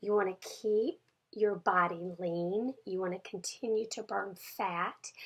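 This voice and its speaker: At a very slow pace, a woman with medium pitch speaks with fairly even intonation. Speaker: fitness coach. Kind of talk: video check-in for program members. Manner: casual, with fillers.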